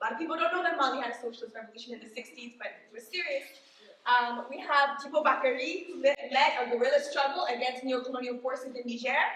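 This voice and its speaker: Speaking at a very fast pace, a woman uses a high pitch with ordinary variation. Noticeable background noise sits behind her. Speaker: activist speaker at political event. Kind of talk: presentation speech.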